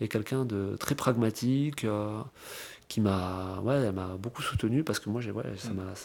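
Speaking at a very slow pace, a man has a fairly low pitch with ordinary pitch variation. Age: 30s. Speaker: real estate investor. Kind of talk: interview. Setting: at the host's home.

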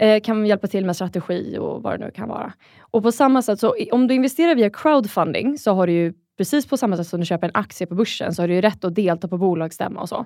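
A woman's dark, mellow, medium-pitched voice with lively intonation at a very fast pace, in a very clean recording with a silent background. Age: 30s. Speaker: angel investor. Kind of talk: interview.

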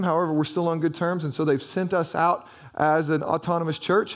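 The speech moves at a fairly quick pace in a Southern US accent. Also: man. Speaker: pastor. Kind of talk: sermon. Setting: church. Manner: fast talker.

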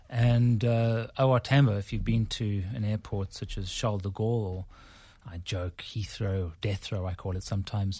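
A man's fairly low, dark and mellow voice, somewhat breathy, at a moderate pace, in a very clean recording with a silent background. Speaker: business consultancy chief executive. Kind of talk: radio interview.

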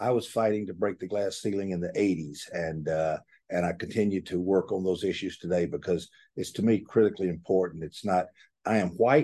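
A man's very deep, dark and mellow voice with a Southern US accent, fairly quick, with ordinary pitch variation over a quiet background. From Georgia, US South. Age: 70s. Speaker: author and staffing recruiter. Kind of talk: casual interview conversation.

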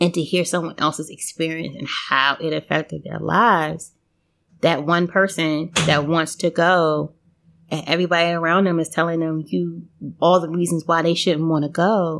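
A woman with an American accent and an unremarkable speaking voice, fairly low in pitch with fairly even intonation at a moderate pace, in a very clean recording with a silent background. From United States. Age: 40s. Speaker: podcast guest, former exchange student. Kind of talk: casual interview chat.

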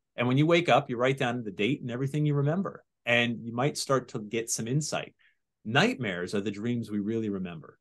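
In a plain, everyday voice, a man with an American accent talks at a fairly quick pace and medium pitch. His intonation is lively, and the background is quiet. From Connecticut (Sandy Hook). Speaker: TV writer, producer and host on paranormal legends. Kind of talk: casual interview chat.

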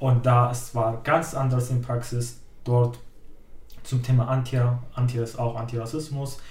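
The speaker is somewhat breathy, talking fairly slowly in a flat monotone with long, frequent pauses. Room echo is audible. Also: man, medium pitch for a man. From Syria. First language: Arabic (speaking German). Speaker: climate activist, trainee educator. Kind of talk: interview.

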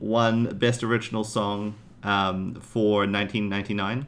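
A man talks fairly slowly in an American accent. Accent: sounds American. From New Zealand. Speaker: podcast co-host. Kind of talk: casual chat.

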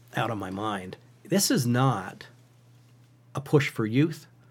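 A somewhat breathy man with a central Pennsylvania accent. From Pennsylvania, Western Schuylkill County. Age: 50s. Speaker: hunting advocate. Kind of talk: podcast interview.

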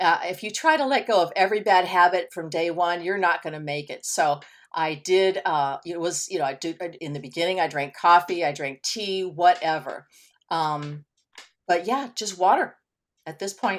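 A woman with a plain, everyday voice speaks at a moderate pace and a fairly low pitch, her pitch varying in an ordinary way. Her loudness swings widely on a very clean recording with a silent background. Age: 60s. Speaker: weight loss success story guest. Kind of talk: interview.

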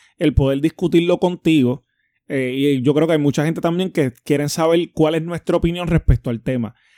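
The sound is dry and close, with no echo, in a very clean recording with a silent background. Pitch moves with ordinary variation. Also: man. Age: 30s. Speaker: podcast co-host. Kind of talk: casual chat.

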